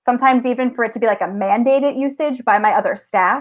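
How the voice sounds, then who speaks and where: A woman with a strong New Jersey accent speaks in a high voice. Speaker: technology teacher and tech coach. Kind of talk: conference presentation.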